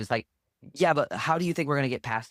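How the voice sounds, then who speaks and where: A man with ordinary pitch variation, in a dry, close sound with no echo and a very clean recording with a silent background. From US Midwest (Iowa), born in Romania. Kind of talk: podcast interview, personal life story. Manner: animated, many fillers and restarts.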